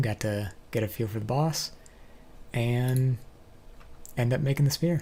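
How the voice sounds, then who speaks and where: Speaking at a moderate pace, a man with a medium pitch has a dark, mellow tone, a somewhat breathy quality and ordinary pitch variation. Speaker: gaming youtuber. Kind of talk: gameplay commentary. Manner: casual.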